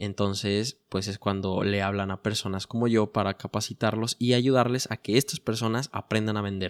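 In a very clean recording with a silent background and a dry, close sound with no echo, a man with a fairly low pitch and a normal speaking voice talks with fairly even intonation and hardly any pauses. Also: moderate pace. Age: 20s. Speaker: entrepreneur podcast host. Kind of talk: solo podcast monologue.

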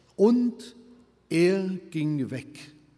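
His tone dark and mellow, a man speaks with lively intonation. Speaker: preacher. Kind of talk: sermon. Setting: church. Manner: earnest, emphatic; fluent preaching delivery, firm and urgent.

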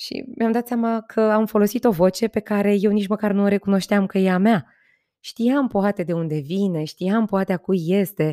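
A woman speaks at a moderate pace with a dark, mellow tone and medium pitch. The very clean recording has a silent background and a dry, close sound with no echo. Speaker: podcast host and trainer. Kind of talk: solo podcast monologue. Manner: talkative.

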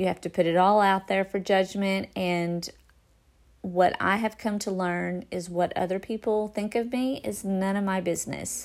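An ordinary speaking voice from a woman, medium in pitch, at a moderate pace with fairly even intonation. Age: 40s. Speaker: podcaster. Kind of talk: casual monologue.

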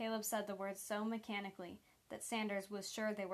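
A passage is read aloud in a natural voice.

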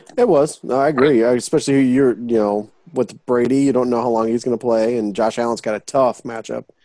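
A man talks at a medium pitch with a dark, mellow tone. He leaves hardly any pauses. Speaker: podcast host. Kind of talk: casual comedic banter. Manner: animated, joking.

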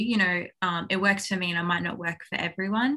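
A woman's bright, sharp voice in an Australian accent, on a very clean recording with a silent background. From Australia (Townsville, Queensland). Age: 20s. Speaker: professional tennis player. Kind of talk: interview.

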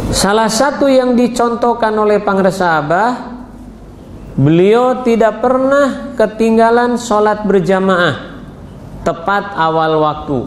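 A man speaks at a high pitch and a very slow pace. Noticeable background noise and audible room echo surround him. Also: ordinary pitch variation, very even loudness. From West Java, Ciamis. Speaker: Sufi religious teacher. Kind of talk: religious talk with personal testimony. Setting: religious gathering.

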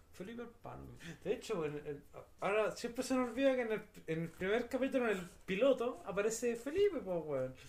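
A man with a Chilean accent talks fairly quickly at a high pitch, his intonation lively. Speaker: podcast co-host. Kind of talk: casual chat.

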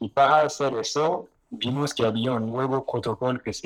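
With a French accent, a man talks at a fairly slow pace and with ordinary pitch variation. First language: French (speaking Spanish). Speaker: exchange founder. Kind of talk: live panel discussion. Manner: halting, many fillers.

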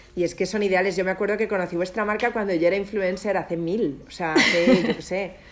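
Over noticeable background noise, a woman with a medium pitch talks at a very fast pace. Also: hardly any pauses. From Spain. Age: 30s. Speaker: entrepreneur and former influencer. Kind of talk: interview.

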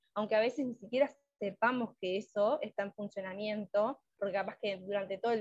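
With a dry, close sound and no echo, a woman speaks at a medium pitch and a moderate pace in fairly even intonation. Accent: Uruguayan. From Uruguay. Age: 20s. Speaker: psychologist. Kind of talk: interview.

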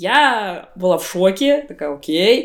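A woman with an ordinary speaking voice, a medium pitch and lively intonation. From Buryatia, Russia. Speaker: graphic designer. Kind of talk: casual chat. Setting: at a friend's home.

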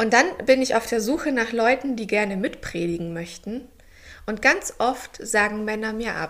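A plain, everyday voice from a woman, fairly high-pitched, at a moderate pace with ordinary pitch variation. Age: 30s. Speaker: pastor. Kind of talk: casual chat.

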